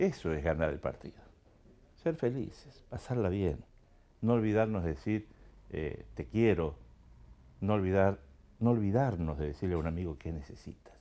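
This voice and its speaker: Pausing long and often, a man with a very deep, low pitch speaks in a dark, mellow tone with lively intonation. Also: moderate pace. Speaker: talk show host. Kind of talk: show opening monologue. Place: studio. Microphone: lapel.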